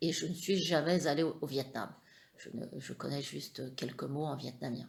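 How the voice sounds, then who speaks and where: A woman with a very deep, low voice and vocal fry talks with ordinary pitch variation, her loudness swinging widely. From France, Perche (Eure-et-Loir). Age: 50s. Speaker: interviewee, mother of the channel owner. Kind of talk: family interview. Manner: hesitant, many fillers.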